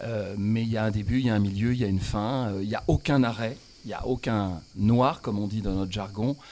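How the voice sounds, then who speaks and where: A man speaks fairly quickly in a fairly low, dark and mellow voice with fairly even intonation. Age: 60s. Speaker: comic stage actor. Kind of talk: radio interview.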